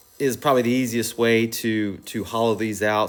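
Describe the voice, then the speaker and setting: At a moderate pace, a man with a southern Ohio accent speaks at a medium pitch. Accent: Southern Ohio, noticeable. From US Midwest, Southern Ohio. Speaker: woodturner, channel host. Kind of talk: tutorial voice-over. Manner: casual, filler-heavy.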